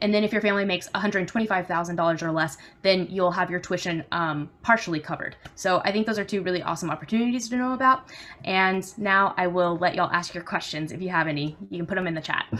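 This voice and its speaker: A woman speaks at a very fast pace. Her tone is bright and sharp. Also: medium pitch for a woman, ordinary pitch variation. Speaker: university admissions coordinator. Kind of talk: informational presentation. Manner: many filler ums.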